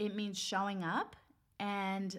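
Here a woman speaks at a medium pitch in an animated tone. Her voice is somewhat breathy. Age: 30s. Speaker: podcast host, nurse. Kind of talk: solo podcast monologue.

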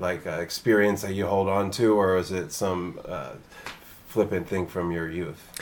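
A normal speaking voice with an American accent, moderate pace and fairly even intonation. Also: man. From Philadelphia area. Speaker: podcast host. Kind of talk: show intro and outro; casual interview chat. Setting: treehouse studio in the hills.

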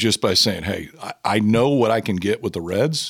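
A man with an American accent and a fairly low pitch, an ordinary speaking voice, ordinary pitch variation and a moderate pace, in a very clean recording with a silent background. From Nebraska, Omaha. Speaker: baseball analyst and former pitcher. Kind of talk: casual chat.

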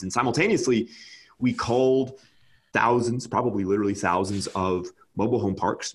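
Speaking at a very fast pace, a man with an American accent uses ordinary pitch variation. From California. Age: 20s. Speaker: real estate investor. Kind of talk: casual chat. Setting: video call.

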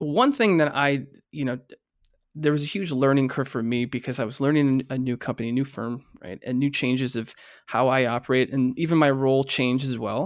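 Recorded very cleanly against a silent background, a man speaks at a fairly quick pace and medium pitch in a plain, everyday voice. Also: ordinary pitch variation. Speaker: podcast co-host and corporate trainer. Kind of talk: casual chat.

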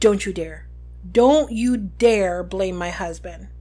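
Delivered at a fairly slow pace, the put-on character voice sits at a middle pitch. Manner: deadly, menacing.

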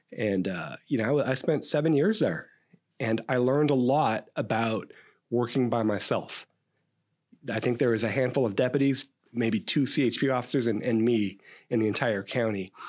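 This man has a plain, everyday voice with an American accent, pitched at a medium level. He talks at a moderate pace with ordinary pitch variation. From California, Stockton. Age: 50s. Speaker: police captain and training expert. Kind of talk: interview about police training. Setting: podcast interview.

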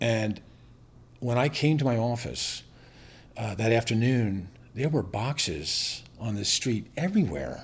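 With an American accent, a man speaks fairly slowly at medium pitch, somewhat breathy, with lively intonation. He takes long, frequent pauses. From Northern Virginia, US. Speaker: business owner. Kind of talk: casual interview.

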